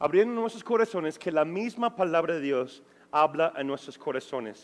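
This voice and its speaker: Lively in intonation, a man with a non-native accent talks at a moderate pace. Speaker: pastor. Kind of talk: Bible study.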